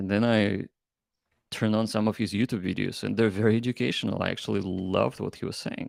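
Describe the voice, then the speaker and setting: Fairly quick speech with vocal fry and a non-native accent, ordinary pitch variation, a dry, close sound with no echo, and a very clean recording over a silent background. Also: man. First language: not English. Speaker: crypto startup founder. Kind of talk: interview. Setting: live stream. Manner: halting.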